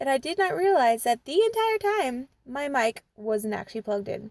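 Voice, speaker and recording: A woman speaks at a fairly slow pace in a high pitch with very wide pitch swings. The sound is dry and close, with no echo. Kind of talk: casual talk to camera. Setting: in a car.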